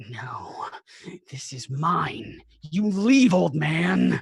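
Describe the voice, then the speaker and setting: A put-on character voice growls at a middle pitch. The pace is very slow. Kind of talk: in-character voice. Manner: dismissive, gruff.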